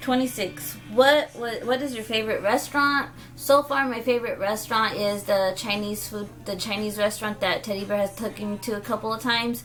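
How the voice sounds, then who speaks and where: Noticeable background noise sits behind a woman with a fairly high pitch. She speaks at a fairly quick pace with hardly any pauses and ordinary pitch variation. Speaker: vlogger. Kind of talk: casual chat. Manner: animated.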